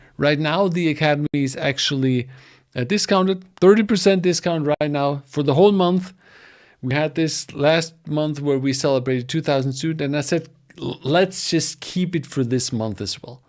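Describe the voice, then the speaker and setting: A man with a German accent speaks in a fairly high pitch. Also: ordinary pitch variation, moderate pace. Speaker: data engineering educator. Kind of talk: livestream promo talk. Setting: livestream from home studio. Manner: halting.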